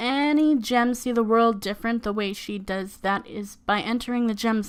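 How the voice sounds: This clip has a natural reading voice.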